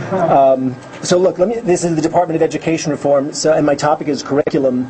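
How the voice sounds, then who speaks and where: Against noticeable background noise, a man with an American accent speaks at a very fast pace with fairly even intonation. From New York. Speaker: education advocate, former teacher. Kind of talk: lecture. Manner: loud.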